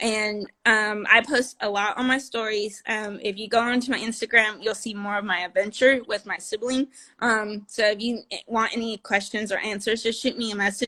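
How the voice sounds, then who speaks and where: Recorded very cleanly against a silent background, a woman speaks in a flat monotone at a fairly high pitch, her tone bright and sharp. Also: moderate pace. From California. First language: Spanish. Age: 30s. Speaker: nutrition and wellness coach. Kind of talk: casual interview chat.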